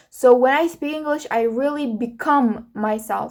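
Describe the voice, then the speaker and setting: A woman with an Uzbek accent at a fairly slow pace, fairly even intonation, and a very clean recording with a silent background. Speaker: vlogger. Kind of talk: casual solo podcast monologue. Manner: halting, many fillers.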